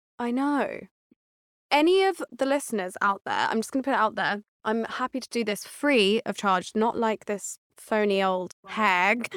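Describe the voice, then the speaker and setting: A woman with a normal speaking voice, fairly high in pitch, uses lively intonation at a moderate pace in a very clean recording with a silent background and a dry, close sound with no echo. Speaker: personal trainer. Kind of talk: casual chat.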